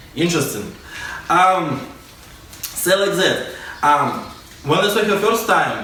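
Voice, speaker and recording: Amid noticeable background noise and audible room echo, someone with a Russian accent speaks at a very slow pace with ordinary pitch variation. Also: man. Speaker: dance teacher. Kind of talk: casual storytelling vlog. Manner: halting.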